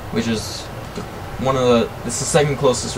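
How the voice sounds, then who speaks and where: The intonation is monotone and flat. There is noticeable background noise. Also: man. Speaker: gaming youtuber. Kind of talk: gameplay commentary. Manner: casual, hesitant with fillers.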